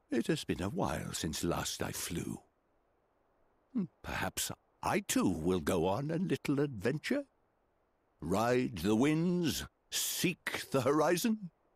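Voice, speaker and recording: A man uses a put-on character voice at a medium pitch. He speaks fairly slowly, with long, frequent pauses. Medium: video game. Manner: gentle, measured, formal.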